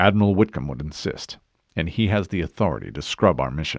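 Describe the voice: Using a put-on character voice, a man speaks low in pitch with vocal fry, lively intonation and a fairly quick pace.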